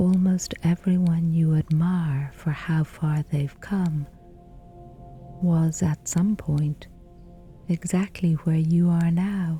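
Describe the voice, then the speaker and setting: Over music in the background, a woman speaks at a very slow pace in a fairly low pitch, with a gentle, calm tone, monotone, flat intonation and very even loudness. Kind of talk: sleep story, gentle guided reassurance for bedtime. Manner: gentle, calm, slow, soothing.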